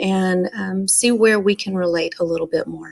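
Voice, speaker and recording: Speaking with a Texan accent, a woman keeps a moderate pace. Her pitch shows ordinary variation. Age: 40s. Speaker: stepmom support vlogger and teacher. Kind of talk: personal story monologue. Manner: casual, many filler ums.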